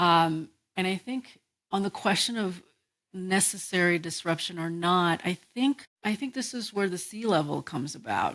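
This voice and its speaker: The recording is very clean with a silent background, carrying a woman at medium pitch, moderate pace and ordinary pitch variation. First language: not English. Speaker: architectural historian and geographer. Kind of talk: casual chat. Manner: halting.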